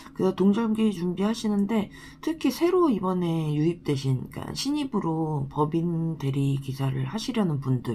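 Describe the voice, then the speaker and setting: This woman has a plain, everyday voice, fairly low in pitch, with lively intonation, a moderate pace and hardly any pauses. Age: 30s. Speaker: designated driver and translator. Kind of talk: casual talk to camera.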